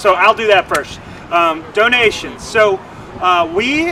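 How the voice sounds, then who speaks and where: A man's voice comes through noticeable background noise. Room echo is audible. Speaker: nonprofit development officer. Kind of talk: livestream commentary. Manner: halting, stumbling over words.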